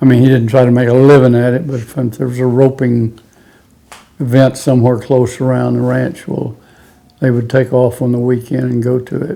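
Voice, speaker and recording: Flat, monotone intonation comes from a man with an American accent speaking at a moderate pace and medium pitch. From Texas Panhandle (Pampa). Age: 80s+. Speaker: rodeo hall of fame inductee, former rodeo cowboy. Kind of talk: oral history interview.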